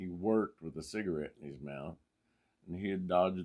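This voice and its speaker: A man with a very deep, low pitch is heard in a very clean recording with a silent background. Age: old. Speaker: mechanic and college professor. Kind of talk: personal anecdote told to camera. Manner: animated storytelling.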